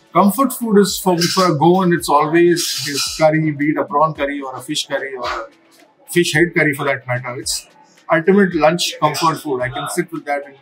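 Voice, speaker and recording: A man at a fairly quick pace, ordinary pitch variation, clear music in the background. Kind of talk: interview answer. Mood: relaxed, friendly. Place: cafe.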